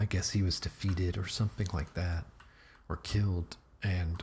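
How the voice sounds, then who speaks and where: Soft-spoken and very deep, low-pitched, a man talks at a fairly slow pace with ordinary pitch variation. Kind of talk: casual talk to camera.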